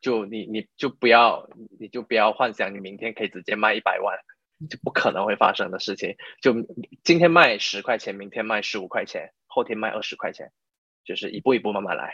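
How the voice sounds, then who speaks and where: Recorded with a dry, close sound and no echo, a man speaks at a fairly quick pace with big swings in loudness. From Malaysia. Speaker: e-commerce entrepreneur. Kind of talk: interview. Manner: halting; code-switching with English.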